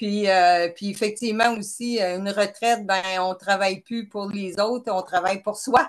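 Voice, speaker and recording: A woman with a Quebec accent, fairly slow and fairly even in intonation. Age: 60s. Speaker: retired chemist, person with type 1 diabetes. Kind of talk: interview. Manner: hesitant, many fillers.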